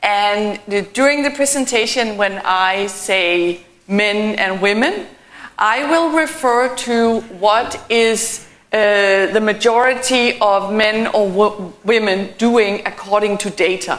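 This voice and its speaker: A woman with a European accent speaks very slowly at a fairly high pitch. Her pitch varies in an ordinary way, and room echo is audible. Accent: non-native European English. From Denmark. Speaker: keynote speaker, transport consultant. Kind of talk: conference presentation.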